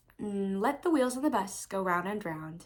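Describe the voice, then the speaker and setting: A woman with lively intonation. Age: young. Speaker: recent high school graduate vlogger. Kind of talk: speech; casual chat. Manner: fast.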